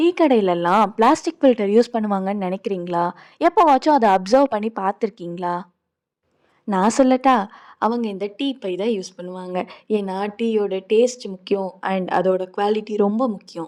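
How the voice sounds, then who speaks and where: An ordinary speaking voice with ordinary pitch variation is captured in a very clean recording with a silent background. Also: woman, medium pitch for a woman, dry, close sound with no echo. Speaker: grandchild promoting family tea filter business. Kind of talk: promotional voice-over narration.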